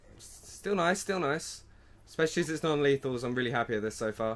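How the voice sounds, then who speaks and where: The speaker uses lively intonation with a British accent. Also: man. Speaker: gaming YouTuber. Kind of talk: live gameplay commentary, first-impression video. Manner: excitable, reactive; fast, repetitive, encouraging team chatter.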